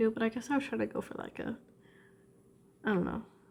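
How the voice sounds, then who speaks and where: Pitched fairly high, a woman talks with ordinary pitch variation. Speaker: drawing video creator. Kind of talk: casual drawing commentary. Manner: casual with fillers.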